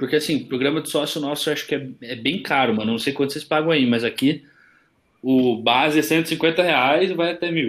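A man speaks in a normal speaking voice at a fairly high pitch and moderate pace, with ordinary pitch variation. The recording is very clean with a silent background and no noise. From Curitiba, southern Brazil. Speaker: podcast co-host. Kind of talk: casual chat.

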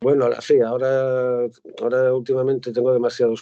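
A man's medium-pitched voice at a moderate pace. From Spain, Asturias (Gijón). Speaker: poet. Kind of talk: reading aloud; casual chat.

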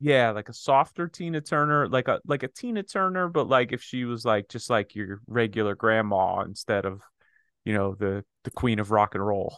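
This is a plain, everyday voice with lively intonation, moving at a moderate pace. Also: man, medium pitch for a man. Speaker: podcast host. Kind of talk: casual banter about sports and culture. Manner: joking, playful.

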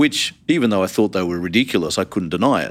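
On a very clean recording with a silent background, a man with an Australian accent speaks fairly quickly in a very deep, low pitch with ordinary pitch variation. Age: 50s. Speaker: theology college dean. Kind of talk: interview.

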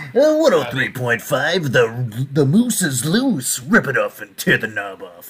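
A put-on character voice from a man, fairly high in pitch, at a very slow pace. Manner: loud, hyped, brash.

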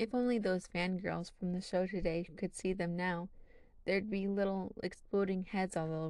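What is heard here is plain reading aloud.

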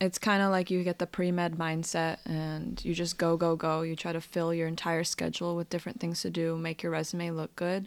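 Over a silent background in a very clean recording, a woman speaks at a moderate pace with monotone, flat intonation. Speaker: student podcast host. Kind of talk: casual interview chat.

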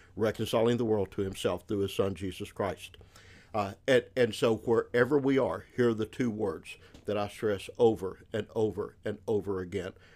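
In a Southern US accent, a man speaks at a fairly low pitch with fairly even intonation, on a very clean recording with a silent background. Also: moderate pace. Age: 60s. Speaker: missionary and former pastor. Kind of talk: casual ministry conversation.

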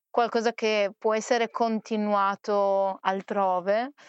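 A woman talks in an unremarkable speaking voice at a fairly high pitch. The sound is dry and close with no echo, over a quiet background. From Trieste, Italy. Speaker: singer. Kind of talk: conversational interview.

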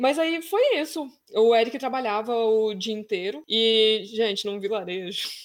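With an ordinary speaking voice, a woman speaks at a fairly slow pace, her fairly high pitch carried by lively intonation. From Brazil. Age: 30s. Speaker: travel blogger. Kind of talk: casual chat.

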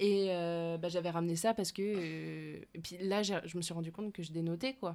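A woman with an ordinary speaking voice talks at a moderate pace and fairly low pitch, with fairly even intonation and hardly any pauses. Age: 20s. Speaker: podcast host. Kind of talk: casual chat. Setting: basement.

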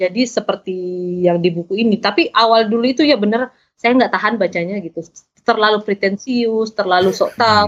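A woman with an unremarkable speaking voice, fairly high in pitch, at a fairly quick pace with ordinary pitch variation. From South Sulawesi, Indonesia (Makassar). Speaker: novelist and journalist. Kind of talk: casual interview.

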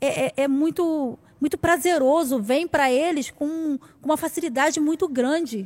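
In a very clean recording with a silent background, a woman with a high pitch talks at a fairly slow pace with ordinary pitch variation. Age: 40s. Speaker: missionary. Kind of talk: testimony.

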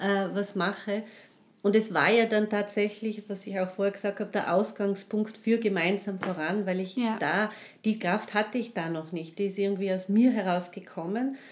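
A woman's medium-pitched voice moves at a moderate speed, her intonation fairly even. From Tyrol, Austria. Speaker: life and social counsellor. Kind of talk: interview, personal testimony. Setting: in studio with host. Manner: halting, many fillers.

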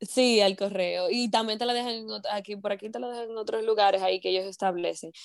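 A woman speaks at a fairly quick pace with an animated tone, a medium pitch and a Dominican Cibao accent. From Dominican Republic, Moca. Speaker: entrepreneur and broadcaster. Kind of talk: interview storytelling.

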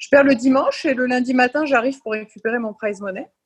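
A woman talking at a very fast pace. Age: 40s. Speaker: former professional tennis player. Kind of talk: casual interview.

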